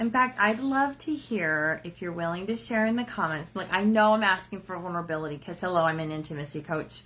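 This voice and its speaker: On a very clean recording with a silent background, a woman with a medium pitch talks in an animated tone with lively intonation, at a fairly quick pace with hardly any pauses. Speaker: intimacy coach. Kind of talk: live stream talk. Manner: loud, big energy; animated, casual with fillers.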